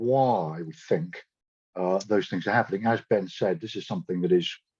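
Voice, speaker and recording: Against a quiet background, a man talks with a fairly low pitch. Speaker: marine biology researcher giving a talk. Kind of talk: lecture. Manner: fast.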